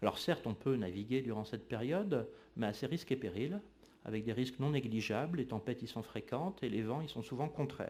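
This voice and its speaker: A man talks at a fairly quick pace, his medium-pitched voice carrying lively intonation. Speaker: historian. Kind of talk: lecture. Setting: lecture hall with audience. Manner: frequent hesitations (euh).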